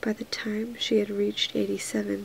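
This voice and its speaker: Soft-spoken delivery at a moderate pace. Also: woman. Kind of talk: audiobook reading.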